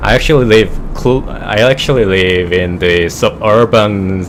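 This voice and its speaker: At a very slow pace, a man with a Korean accent speaks over noticeable background noise. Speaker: flight simulator streamer. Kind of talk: casual chat. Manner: halting.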